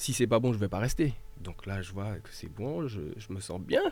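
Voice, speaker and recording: Here a man speaks with a dark, mellow tone. His pitch varies in an ordinary way. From mainland France, after early childhood in Martinique. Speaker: volunteer firefighter and local political activist. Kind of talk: radio panel discussion.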